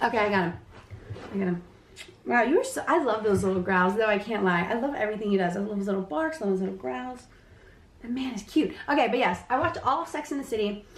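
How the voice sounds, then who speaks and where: Speaking at a very fast pace, a woman uses lively intonation at a fairly high pitch, and the room echo is audible. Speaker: podcast host. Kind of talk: casual chat. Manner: animated.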